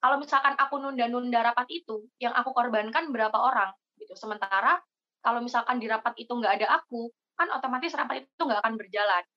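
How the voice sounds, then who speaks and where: A high-pitched woman at a very fast pace, with ordinary pitch variation and big swings in loudness. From Indonesia, East Java (Jember). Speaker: university student, scholarship organization leader. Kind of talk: casual podcast interview.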